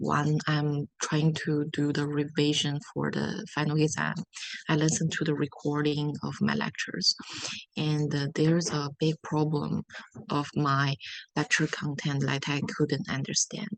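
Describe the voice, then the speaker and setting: Someone speaks with a non-native accent at a fairly slow pace. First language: not English. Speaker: international student. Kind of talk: interview answers.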